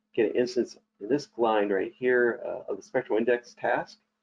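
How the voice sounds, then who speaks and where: A man is talking at a moderate pace. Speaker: software trainer. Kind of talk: tutorial. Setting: online webinar.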